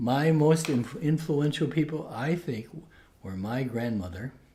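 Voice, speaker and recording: A man speaks at a moderate pace with lively intonation, and his dark, mellow tone is somewhat breathy. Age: 70s. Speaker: Jesuit priest and professor. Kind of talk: interview. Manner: halting.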